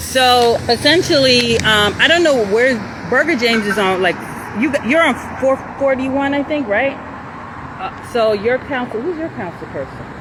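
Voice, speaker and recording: The speech moves at a moderate pace through noticeable background noise. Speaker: community activist livestreamer. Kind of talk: casual livestream chat. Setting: outdoors walking. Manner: loud; halting.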